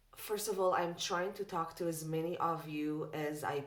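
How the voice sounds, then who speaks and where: A woman's voice at a fairly slow pace, with fairly even intonation and audible room echo. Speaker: tarot reader. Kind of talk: casual chat. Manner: loud.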